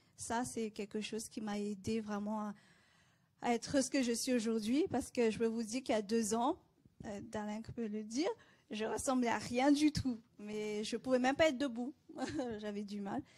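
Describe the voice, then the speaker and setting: A fairly high, somewhat breathy female voice with a dark, mellow tone, moderate pace, fairly even intonation and long, frequent pauses. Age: 30s. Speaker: cancer patient. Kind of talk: testimony.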